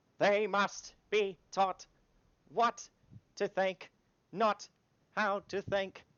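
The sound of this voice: In a loud, middle-pitched put-on character voice, the speaker goes at a very slow pace with long, frequent pauses and monotone, flat intonation.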